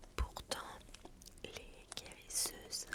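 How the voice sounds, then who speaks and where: A whisper comes through with noticeable background noise around it. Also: woman. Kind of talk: ASMR history narration. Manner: whispered, soft.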